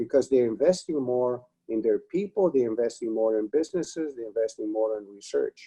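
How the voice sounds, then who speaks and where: Recorded dry and close with no echo, a man with a Romanian accent speaks at a moderate pace in a medium pitch, with a dark, mellow tone and ordinary pitch variation. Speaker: retired advertising executive. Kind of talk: webinar interview.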